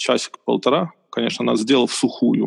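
A man is heard in a dry, close sound with no echo. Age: 20s. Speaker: architect, podcast guest. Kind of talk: casual chat.

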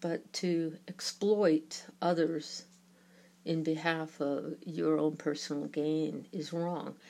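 Very deep and low in pitch, a woman's dark, mellow voice moves at a very slow pace with monotone, flat intonation. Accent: New York. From New York. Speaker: podcaster on UFO topics. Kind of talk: solo podcast commentary.

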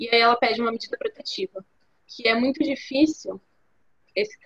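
The high voice of a woman comes through dry and close, with no echo. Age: 20s. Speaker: university student, podcast co-host. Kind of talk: casual interview chat.

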